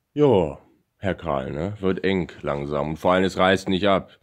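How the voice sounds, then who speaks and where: A man speaks at a moderate pace with a very deep, low pitch and ordinary pitch variation. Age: 20s. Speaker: YouTuber. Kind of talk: vlog monologue. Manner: halting.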